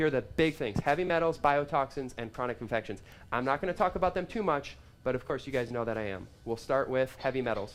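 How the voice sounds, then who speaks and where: A man with a medium pitch speaks very fast in an animated tone with lively intonation. Music plays in the background. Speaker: health practitioner giving a talk. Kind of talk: live seminar talk. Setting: live event with audience.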